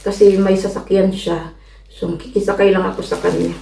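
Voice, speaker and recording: Medium pitch for a woman, fairly even intonation, and audible room echo around her voice. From Philippines. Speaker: vlogger. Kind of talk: casual vlog.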